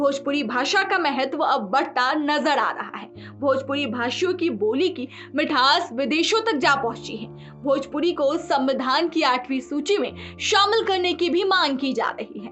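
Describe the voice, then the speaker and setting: A woman speaks at a high pitch with lively intonation and hardly any pauses. Music plays in the background. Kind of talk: news narration voiceover.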